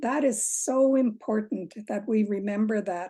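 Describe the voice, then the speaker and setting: Against a quiet background, a woman speaks with a fairly high pitch and a dark, mellow tone. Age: 60s. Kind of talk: audience Q&A. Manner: halting.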